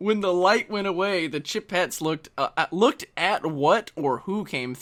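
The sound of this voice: An unforced reading voice carries ordinary pitch variation.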